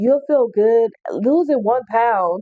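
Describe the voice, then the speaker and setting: A loud, animated woman's voice with lively intonation. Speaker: fitness vlogger. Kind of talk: vlog monologue.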